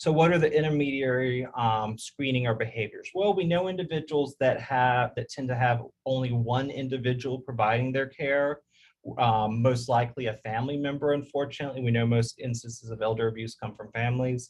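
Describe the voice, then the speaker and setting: With ordinary pitch variation, the speaker sounds somewhat breathy. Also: man, medium pitch for a man. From US South. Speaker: public health professor. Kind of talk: webinar presentation and Q&A. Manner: fast.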